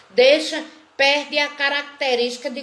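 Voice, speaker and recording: The speech moves at a very slow pace with ordinary pitch variation, and audible room echo surrounds it. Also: woman. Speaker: teacher of a literature course. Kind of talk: online lecture.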